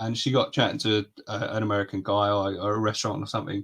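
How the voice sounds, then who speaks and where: A man talks very fast against a quiet background. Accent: southern English. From England, near London. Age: 30s. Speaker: reptile podcast host. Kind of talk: casual chat.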